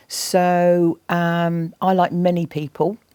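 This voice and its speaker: A woman with an English accent speaks at a fairly low pitch, in a dry, close sound with no echo. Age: 60s. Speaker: environmental campaigner and TV presenter. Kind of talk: interview. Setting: college interview with students. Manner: halting.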